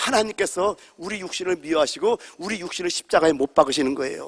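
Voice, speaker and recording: A man speaks in a raised, projected voice at a very fast pace, his tone animated. The sound is dry and close with no echo. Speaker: pastor. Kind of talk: sermon. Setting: church. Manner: loud.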